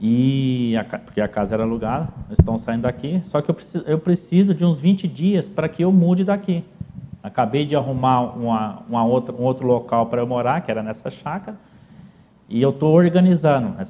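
Lively in his intonation, a man talks at a moderate pace with a medium pitch. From southern Minas Gerais, Brazil (São Sebastião do Paraíso). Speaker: businessman. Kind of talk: interview, life story. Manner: halting, repeats words.

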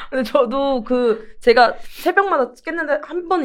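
A woman's voice swings very widely in pitch. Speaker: podcast co-host. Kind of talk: casual chat. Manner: gruff, rough-spoken.

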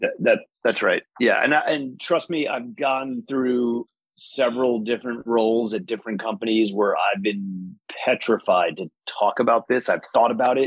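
A man talks at a moderate pace with an American accent and a normal speaking voice. His pitch is medium, with ordinary variation. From New York state, US. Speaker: business executive guest. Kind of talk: casual interview conversation. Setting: video call.

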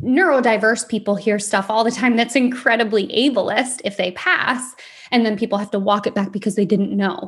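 Somewhat breathy, a woman speaks at a fairly high pitch and a moderate pace with ordinary pitch variation. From Michigan, US. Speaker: podcast host. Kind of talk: personal monologue.

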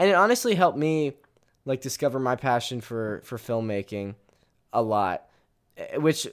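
A man's animated tone with lively intonation, medium pitch and moderate pace, in a very clean recording with a silent background. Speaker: youtuber and podcast host. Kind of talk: casual chat.

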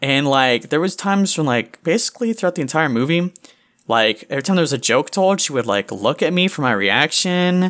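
A man speaks fairly quickly at a fairly high pitch with very wide pitch swings, on a very clean recording with a silent background. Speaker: podcast co-host and web comic creator. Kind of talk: casual banter, angry rant. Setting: podcast recording. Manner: angry, ranting, profane, shouting.

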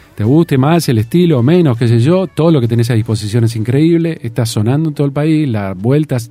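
A man speaks at a fairly quick pace with ordinary pitch variation, music playing in the background. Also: hardly any pauses. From Argentina, Tandil. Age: 50s. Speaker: radio broadcaster. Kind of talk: interview conversation. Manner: halting, with repetitions.

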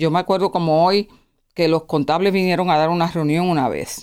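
A woman's fairly low voice at a moderate pace, on a very clean recording with a silent background. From Puerto Rico, raised in Pennsylvania from age seven. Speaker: nonprofit finance executive. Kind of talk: interview testimony. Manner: halting, with repetitions.

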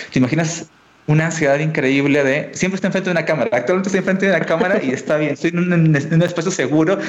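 Against noticeable background noise and audible room echo, a man speaks at a fairly high pitch with ordinary pitch variation. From Peru, Tacna (south, near Chile border). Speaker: educational YouTuber and programming teacher. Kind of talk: casual interview chat.

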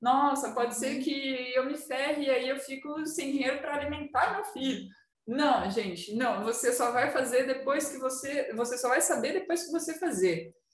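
With audible room echo, a woman with a high pitch talks at a moderate pace with ordinary pitch variation and hardly any pauses. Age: 20s. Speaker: tattoo artist. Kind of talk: casual chat.

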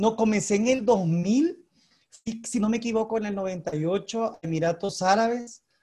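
A man's high-pitched voice with a dark, mellow tone, ordinary pitch variation and a fairly slow pace. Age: 40s. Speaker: bowler and diplomat. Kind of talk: interview. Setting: video call.

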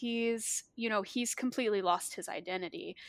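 A woman's bright, sharp voice with an American accent, ordinary pitch variation, and a very clean recording over a silent background. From US South, Arkansas. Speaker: horror writer and anthology editor. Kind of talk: casual chat.

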